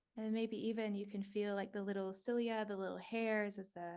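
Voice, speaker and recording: A woman's medium-pitched voice at a moderate pace, monotone and flat in intonation. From New Zealand. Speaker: breathwork guide and life coach. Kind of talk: guided breathwork meditation.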